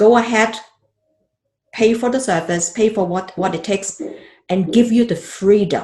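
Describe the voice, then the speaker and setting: Lively intonation from a woman, somewhat breathy and fairly high-pitched. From Hong Kong. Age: 50s. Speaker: financial advisor. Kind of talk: podcast interview.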